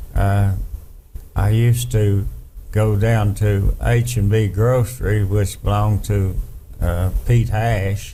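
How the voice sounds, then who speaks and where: In an Appalachian accent, a man speaks very slowly at a fairly low pitch, with monotone, flat intonation, very even loudness, long and frequent pauses, and audible room echo. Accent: Appalachian Southern US. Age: 70s. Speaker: interviewee, family elder. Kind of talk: casual reminiscing interview.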